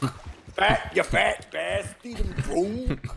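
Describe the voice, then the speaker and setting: A put-on character voice in a Scottish accent, fairly high-pitched and very slow. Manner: boisterous, mocking.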